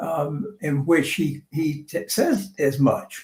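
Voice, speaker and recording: A man speaks with an American accent at a fairly high pitch. Vocal fry runs through his voice. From US South. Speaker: artist. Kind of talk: interview conversation. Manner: halting.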